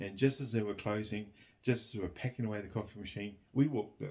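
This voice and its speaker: A man talks at a fairly low pitch with a New Zealand accent. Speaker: vlogger. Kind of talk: casual chat. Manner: halting.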